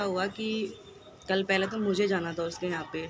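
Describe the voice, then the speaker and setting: Noticeable background noise runs through the clip. Room echo is audible too. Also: woman. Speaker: vlogger. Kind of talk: casual vlog talk to camera.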